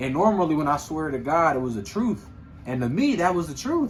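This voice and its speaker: There is audible room echo around a man speaking at a fairly quick pace. His voice is somewhat breathy and his intonation lively. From Philadelphia, US. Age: 20s. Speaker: podcast co-host. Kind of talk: casual chat.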